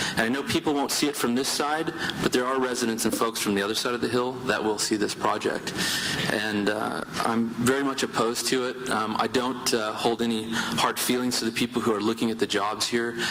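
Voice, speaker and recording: A man's medium-pitched voice at a fairly quick pace, with very even loudness, fairly even intonation and noticeable background noise. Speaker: grape farmer giving public comment. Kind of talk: public hearing testimony. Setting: public hearing room. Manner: fast.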